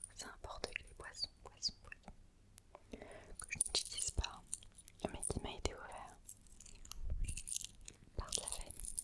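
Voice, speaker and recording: A woman whispers very slowly, leaving long, frequent pauses. Her loudness swings widely, and there is noticeable background noise. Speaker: ASMR creator. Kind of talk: ASMR whisper talk to camera. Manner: whispered, soft, relaxing.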